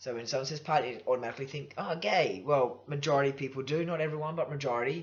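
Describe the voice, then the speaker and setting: With music in the background, a man with an Australian accent and a fairly high pitch talks at a very fast pace with ordinary pitch variation. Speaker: vlogger. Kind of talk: personal vlog. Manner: casual, halting with fillers.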